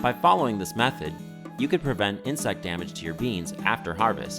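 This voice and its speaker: Speaking at a fairly quick pace with an American accent, the voice makes very wide pitch swings while music plays in the background. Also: man. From United States. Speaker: educational video narrator. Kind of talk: instructional narration.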